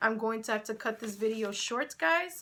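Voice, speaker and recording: The speaker has a Spanish accent. Their tone is bright and sharp. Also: woman. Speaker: YouTuber, sports and entertainment commentator. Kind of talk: casual vlog commentary. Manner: conversational, animated.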